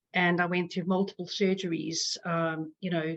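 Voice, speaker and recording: In a South African accent, a woman speaks at a fairly low pitch with monotone, flat intonation. The sound is dry and close with no echo, over a quiet background. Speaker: patient advocate. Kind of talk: personal testimony. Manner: halting, many fillers.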